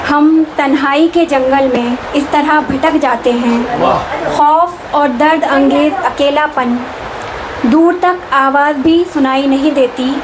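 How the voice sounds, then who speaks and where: Over noticeable background noise, a high-pitched woman keeps a fairly even intonation and very even loudness. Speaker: Urdu poet. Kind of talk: poetry reading. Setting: private gathering at a residence.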